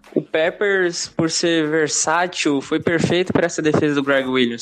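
A fairly high-pitched man with fairly even intonation at a fairly slow pace, against noticeable background noise. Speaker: NFL fan podcaster. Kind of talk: casual chat.

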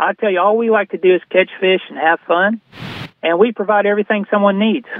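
At a moderate pace, a man with an Arkansas accent speaks in a high pitch with fairly even intonation. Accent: Southern US (Arkansas). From northern Arkansas. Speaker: fishing guide and fly shop owner. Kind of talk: casual chat.

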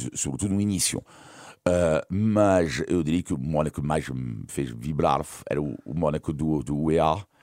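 A dark, mellow tone with a French accent and lively intonation on a very clean recording with a silent background. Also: man. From France. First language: French (speaking Portuguese). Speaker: sports journalist and commentator. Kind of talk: casual interview.

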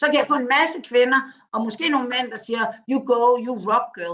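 A woman speaks at a moderate pace with lively intonation. Her tone is bright and sharp. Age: 50s. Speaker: communications consultant. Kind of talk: interview. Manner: halting.

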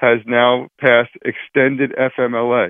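A man speaks at medium pitch. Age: 40s. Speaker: employment lawyer. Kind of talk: radio interview.

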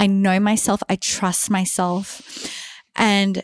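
With an unremarkable speaking voice, a woman talks at medium pitch in a dry, close sound with no echo, on a very clean recording with a silent background. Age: 30s. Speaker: podcast co-host, confidence coach. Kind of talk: casual chat. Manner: unhurried, not a quick cadence.

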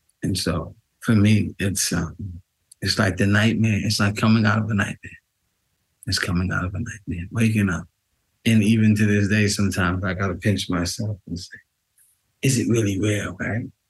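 A man with a New York accent speaks at a fairly low pitch and moderate pace, somewhat breathy and monotone, with flat intonation. He leaves long, frequent pauses. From New York City, Queens. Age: 50s. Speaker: exoneree, former prisoner. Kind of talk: interview.

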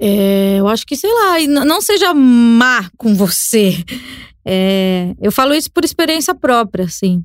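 Speaking at a very slow pace, a woman holds a fairly high pitch. Her pitch swings are very wide while her loudness stays very even. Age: 30s. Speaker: podcaster and communicator. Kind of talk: casual chat. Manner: halting, repeats words.

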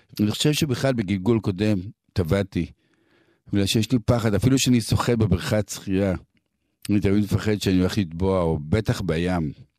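A dark, mellow tone at a moderate pace with ordinary pitch variation, very even loudness and long, frequent pauses, on a very clean recording with a silent background. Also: man, fairly low pitch for a man. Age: 60s. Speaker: musician. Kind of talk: personal storytelling.

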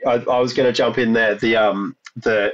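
A man talks with an Australian accent. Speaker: podcast host. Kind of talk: interview.

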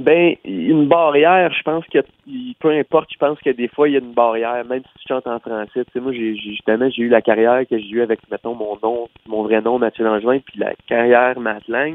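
A man at medium pitch with a Quebec accent, moderate pace and big swings in loudness. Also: ordinary pitch variation. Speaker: country singer. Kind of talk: interview. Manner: halting, with many repeated words.

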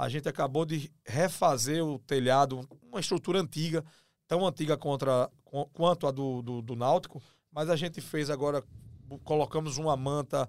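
In a very clean recording with a silent background, a man with a normal speaking voice and a fairly high pitch talks at a moderate pace with ordinary pitch variation. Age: 40s. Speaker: club presidential candidate and lawyer. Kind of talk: interview.

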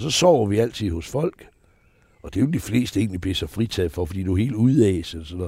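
A man's very fast, somewhat breathy voice, dark and mellow in tone, with lively intonation and big swings in loudness. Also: fairly low pitch for a man. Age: 70s. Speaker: entertainer. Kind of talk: interview. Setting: outdoors on a terrace.

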